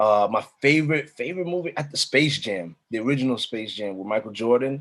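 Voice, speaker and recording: With an American accent, a man speaks at a fairly quick pace with lively intonation. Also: medium pitch for a man. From United States. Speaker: spoken word artist. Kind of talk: interview. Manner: halting.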